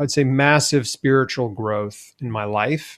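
A man's plain, everyday voice with an American accent, fairly even intonation and a moderate pace. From Tennessee, US South. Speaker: cancer survivor and health author. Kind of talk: interview.

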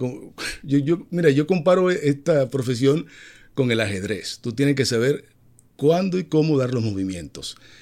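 A man talks at a moderate pace in an ordinary speaking voice, at a medium pitch, with lively intonation. The recording is very clean, with a silent background. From Dominican Republic. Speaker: TV entertainment journalist and host. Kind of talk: casual interview.

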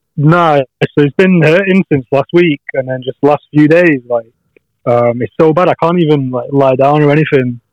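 In a northern English accent, a man talks with a fairly high pitch and ordinary pitch variation. The sound is dry and close, with no echo. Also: moderate pace. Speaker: friend joining by call. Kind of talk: casual chat. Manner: casual, swears.

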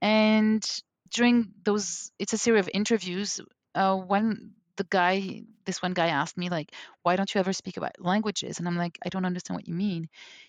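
A dry, close sound with no echo, fairly even intonation and a French accent. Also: woman, medium pitch for a woman, moderate pace, quiet background. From Algeria, raised in London, West Africa and New York. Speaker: language coach. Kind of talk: interview conversation.

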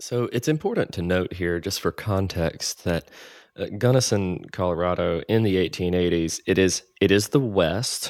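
A man with an American accent speaks at a moderate pace, his pitch very deep and low with ordinary variation. The recording is very clean, with a silent background. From US South. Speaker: podcast host. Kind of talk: interview.

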